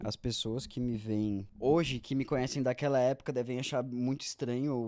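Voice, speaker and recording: Over a silent background in a very clean recording, a man talks at a medium pitch. His tone is dark and mellow, with fairly even intonation. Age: 20s. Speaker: amateur triathlete. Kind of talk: interview.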